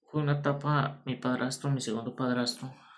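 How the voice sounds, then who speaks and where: A man talks at a medium pitch. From born in Nicaragua, grew up in Costa Rica (San Carlos). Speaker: vlogger. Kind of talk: personal storytelling monologue.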